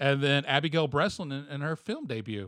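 In a normal speaking voice, a man speaks at a fairly high pitch and moderate pace. The sound is dry and close with no echo, over a quiet background. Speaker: podcast host. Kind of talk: casual chat. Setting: studio.

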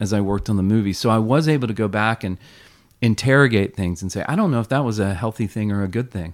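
In a Southern US accent, a man speaks with a fairly low pitch and ordinary pitch variation on a very clean recording with a silent background. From US South, South Carolina. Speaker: filmmaker. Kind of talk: interview conversation. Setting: chapel.

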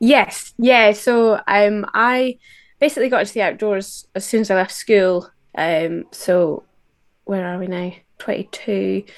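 A woman with a Scottish accent, medium pitch, ordinary pitch variation, and a fairly slow pace. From west of Scotland. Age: 20s. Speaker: outdoor instructor. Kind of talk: interview.

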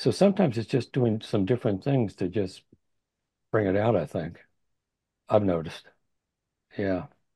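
A somewhat breathy, dark and mellow voice at a moderate pace, with ordinary pitch variation, long and frequent pauses, and a quiet background. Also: man, fairly low pitch for a man. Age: 70s. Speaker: astrologer. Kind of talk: casual interview discussion. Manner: hesitant, filler-heavy.

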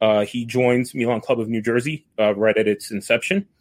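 A man with an American accent and a plain, everyday voice, medium in pitch, with ordinary pitch variation at a moderate pace. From New York. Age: 30s. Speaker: football supporters' club organizer. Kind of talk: casual chat. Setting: remote call.

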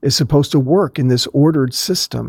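An unremarkable speaking voice, this American-accented man's sits at a medium pitch with ordinary pitch variation in a very clean recording with a silent background. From US Northeast, suburbs of Philadelphia. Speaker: professor of Old Testament. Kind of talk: interview.

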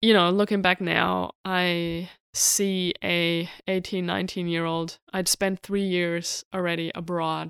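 In a very clean recording with a silent background and a dry, close sound with no echo, a woman with a German accent speaks at a very slow pace and a fairly low pitch, in a monotone, flat intonation with hardly any pauses. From Germany. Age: 30s. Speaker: podcast host, entrepreneur. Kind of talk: solo personal storytelling.

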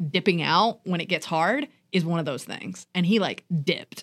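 At a moderate pace, a woman talks with an unremarkable speaking voice at a medium pitch. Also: dry, close sound with no echo, very clean recording, silent background. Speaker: podcast co-host and high school teacher. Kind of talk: casual chat.

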